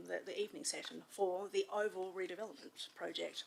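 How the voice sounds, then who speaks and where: A woman with an Australian accent. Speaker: resident asking questions. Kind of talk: public question. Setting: council meeting hall with audience.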